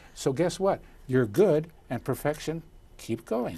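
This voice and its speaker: A man with an American accent, fairly high in pitch, somewhat breathy, with a dark, mellow tone, lively intonation and a moderate pace. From US Midwest, Chicago. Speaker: communications coach. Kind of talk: interview. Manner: animated.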